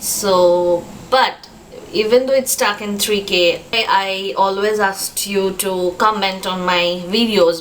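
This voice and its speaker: Fairly slow, fairly even speech from a woman with a Bengali accent at medium pitch, over noticeable background noise. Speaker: vlogger. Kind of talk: casual vlog talk to camera. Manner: hesitant, many fillers.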